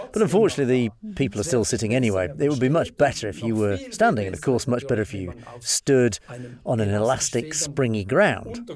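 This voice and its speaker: Lively intonation marks this man's medium-pitched delivery, an ordinary speaking voice. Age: 60s. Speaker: movement scientist. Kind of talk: interview.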